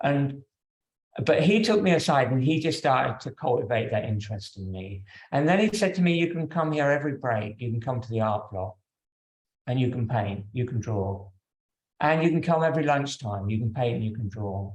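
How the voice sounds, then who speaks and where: A man talks at a fairly quick pace and a medium pitch. His voice is somewhat breathy. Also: lively intonation. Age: 60s. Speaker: yoga teacher. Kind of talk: personal talk to yoga class.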